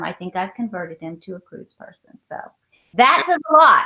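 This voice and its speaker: The speaker has a Southern US accent and a bright, sharp tone. The pitch swings very widely at a moderate pace. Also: woman. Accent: southern twang. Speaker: travel vlogger, guest. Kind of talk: casual chat, live stream interview.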